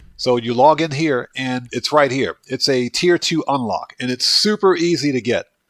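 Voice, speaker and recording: A man with a northeastern US accent speaks at a fairly high pitch with ordinary pitch variation. The sound is dry and close, with no echo. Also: moderate pace. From US Northeast (Baltimore, Maryland). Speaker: gaming livestreamer. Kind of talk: livestream gameplay commentary. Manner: casual, chatty.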